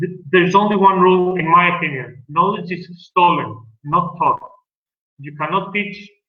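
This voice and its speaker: The intonation stays fairly even. Audible room echo is present. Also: man, high pitch for a man, moderate pace, big swings in loudness. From Greece. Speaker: dentist. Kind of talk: lecture.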